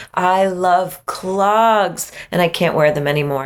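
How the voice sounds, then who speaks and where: A woman talks in a normal speaking voice at a medium pitch. Her pitch variation is ordinary. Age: 50s. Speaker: writer and magazine editor. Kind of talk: interview.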